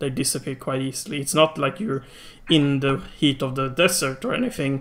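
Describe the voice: A man at medium pitch and moderate pace, with ordinary pitch variation and a fairly bright tone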